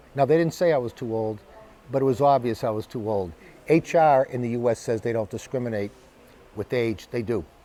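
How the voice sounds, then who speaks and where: A man with an American accent at a medium pitch, fairly quick in pace, lively in intonation, with long, frequent pauses. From United States. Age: 60s. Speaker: business executive. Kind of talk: personal vlog monologue.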